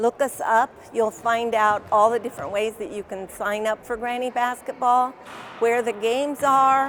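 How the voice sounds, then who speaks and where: Music plays in the background as a woman speaks at a moderate pace, her fairly high pitch held in fairly even intonation. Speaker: senior basketball player. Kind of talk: interview.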